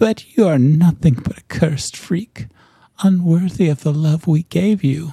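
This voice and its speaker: Doing a put-on character voice, a man speaks at a moderate pace with a fairly high pitch and a hissing quality, recorded dry and close with no echo. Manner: hissing, cruel.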